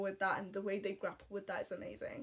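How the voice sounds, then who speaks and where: A woman with a Tamil accent speaks with ordinary pitch variation on a very clean recording with a silent background. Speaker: book reviewer. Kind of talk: casual book review vlog. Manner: chatty, many fillers.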